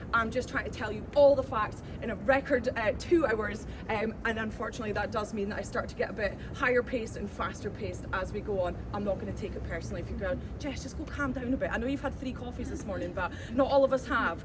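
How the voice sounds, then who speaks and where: Someone speaks at a very fast pace in a Glaswegian accent. Noticeable background noise and audible room echo fill the recording. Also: woman. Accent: Glaswegian Scottish. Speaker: tour guide. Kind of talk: guided tour talk. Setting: outdoors. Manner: animated.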